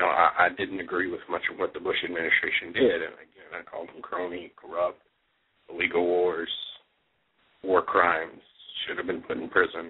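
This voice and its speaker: With a Texas accent, a man speaks at a moderate pace, his loudness swinging widely between long, frequent pauses. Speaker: political talk show host. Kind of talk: political commentary monologue. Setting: internet radio show. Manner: hesitant, many fillers and restarts.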